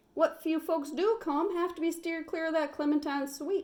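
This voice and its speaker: A woman speaks in a put-on character voice with an extremely high pitch. Her intonation stays fairly even at a moderate pace. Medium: read story.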